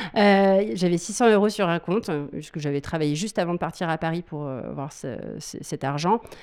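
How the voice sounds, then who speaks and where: Recorded very cleanly against a silent background, a woman speaks at a moderate pace in a fairly low pitch with ordinary pitch variation. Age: 30s. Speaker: burlesque dancer and school owner. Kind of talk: interview. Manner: halting.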